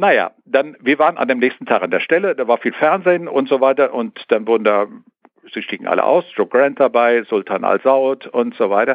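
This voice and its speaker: The speech moves at a moderate pace with lively intonation. It is an ordinary speaking voice. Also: man, medium pitch for a man. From Sauerland, western Germany. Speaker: aviation history collector. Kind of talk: interview. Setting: phone call.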